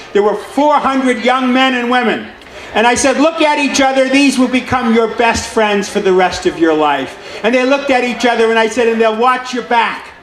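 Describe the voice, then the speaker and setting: A man's extremely high pitch with ordinary variation, very even loudness and a moderate pace, over noticeable background noise. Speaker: city councilman giving a speech. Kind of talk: public speech at a veterans celebration. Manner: commanding, energetic.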